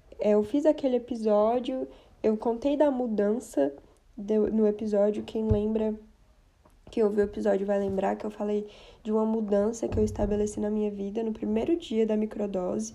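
A woman with a dark, mellow tone and a fairly high pitch speaks at a fairly slow pace with ordinary pitch variation. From Brazil, Brasília. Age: 20s. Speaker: podcast host. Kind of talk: casual personal monologue.

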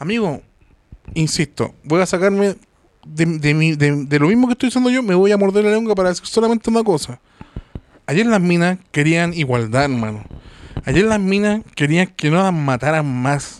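A man speaks at a high pitch and a moderate pace, his intonation lively and his loudness very even. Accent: Chilean. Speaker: podcast host. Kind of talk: casual chat.

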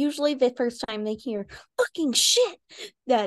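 In a Southern US accent, a woman speaks at a fairly slow pace, the sound dry and close with no echo. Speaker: podcast co-host. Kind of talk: casual, frequent swearing.

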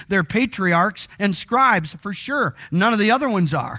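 Projecting a raised voice with a bright, sharp tone, a man with a high pitch talks at a moderate pace with lively intonation. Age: 60s. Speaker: pastor. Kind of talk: sermon. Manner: conversational, frequent fillers.

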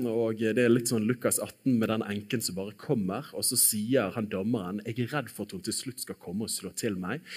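With a normal speaking voice, a man talks at a moderate pace with hardly any pauses. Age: 30s. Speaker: preacher. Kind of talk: sermon.

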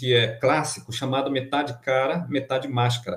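This man's voice sits at a medium pitch and sounds somewhat breathy. He speaks at a moderate pace. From Amapá, Brazilian Amazon. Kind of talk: interview. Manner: halting, with repetitions.

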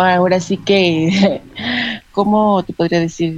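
Very slowly, a woman speaks at medium pitch in a monotone, flat intonation. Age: 30s. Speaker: homemaker with visual impairment. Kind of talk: radio interview.

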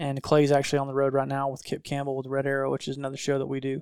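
This man has a Southern US accent. His pitch is fairly high. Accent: Southern US (Georgia). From north Georgia, US South. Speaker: hunting videographer. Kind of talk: casual chat.

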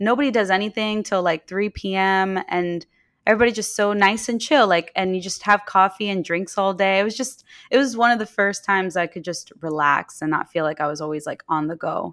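In an ordinary speaking voice, a woman with an American accent talks at a fairly quick pace and medium pitch with ordinary pitch variation, on a very clean recording with a silent background. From New York City (Queens). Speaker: entrepreneur, game company founder. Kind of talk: casual chat.

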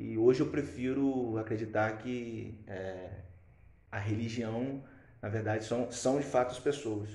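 The voice has a dark, mellow tone and is somewhat breathy, with fairly even intonation. It moves at a fairly slow pace amid audible room echo. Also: man, medium pitch for a man. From Brazil. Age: 20s. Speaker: podcast co-host. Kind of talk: casual chat. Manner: halting.

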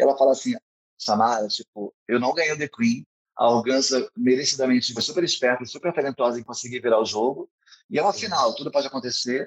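A man with a medium-pitched voice and ordinary pitch variation talks at a very fast pace, recorded dry and close with no echo. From Rio de Janeiro state, São Gonçalo. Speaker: drag queen and event producer. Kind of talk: casual interview. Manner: animated.

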